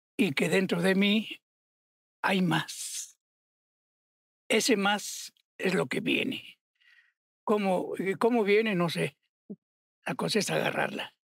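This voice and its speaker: A man at a high pitch, very slow, with long, frequent pauses, ordinary pitch variation and a quiet background. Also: dry sound with no echo. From Mexico, Morelia (Michoacán); Michoacán, Mexico. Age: 80s+. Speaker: sculptor; guest. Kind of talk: interview. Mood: warm, reflective.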